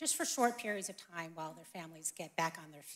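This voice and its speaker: With a bright, sharp tone, a woman speaks at a fairly low pitch with ordinary pitch variation. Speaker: ministry representative.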